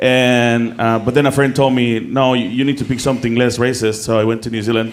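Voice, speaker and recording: Speaking in a Mexican accent at a fairly quick pace, a man holds a medium pitch, monotone, flat intonation and very even loudness, with audible room echo and noticeable background noise. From Mexico. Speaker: comedian. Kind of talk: stand-up. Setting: stage with audience. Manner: halting.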